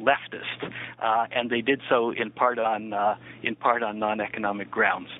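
A man speaks with a Canadian accent. Noticeable background noise runs behind him. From Canada (Niagara Falls, Ontario). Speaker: historian and author. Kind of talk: interview.

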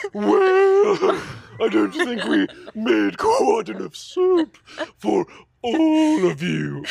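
In a put-on character voice with a British accent, a man speaks at a very slow pace. He leaves long, frequent pauses. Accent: exaggerated British.

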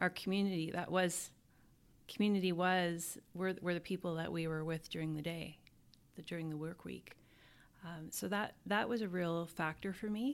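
Speaking with a western Canadian accent, a woman uses a fairly low pitch and ordinary pitch variation at a moderate pace. The recording is very clean, with a silent background. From Canada, Alberta. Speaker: school division superintendent. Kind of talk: interview.

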